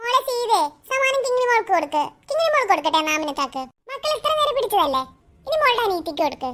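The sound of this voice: A cartoonish character voice with a bright, sharp tone races along at a very fast pace with big pitch swings.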